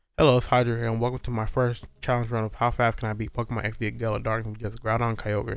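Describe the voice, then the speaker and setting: This man talks at a very fast pace with a medium pitch. His intonation is monotone and flat. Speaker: gaming commentator. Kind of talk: gameplay commentary narration. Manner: soft-spoken.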